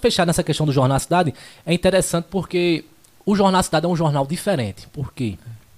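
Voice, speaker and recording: A man's high voice at a very fast pace. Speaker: podcast host and radio announcer. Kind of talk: casual interview chat, live stream.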